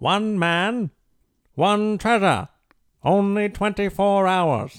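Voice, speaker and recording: A man speaks in a put-on character voice, pitched high and delivered at a very slow pace, on a very clean recording with a silent background. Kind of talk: announcer. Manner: dramatic.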